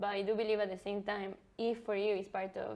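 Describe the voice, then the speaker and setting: The intonation stays flat and monotone. It belongs to a woman. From Brazil / Ecuador. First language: Portuguese or Spanish. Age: 20s. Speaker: interviewee. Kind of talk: casual chat.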